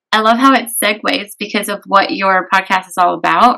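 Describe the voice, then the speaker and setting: A woman's medium-pitched voice with vocal fry, at a fairly quick pace. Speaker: podcast host and holistic coach. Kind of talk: casual interview. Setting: video call. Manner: animated.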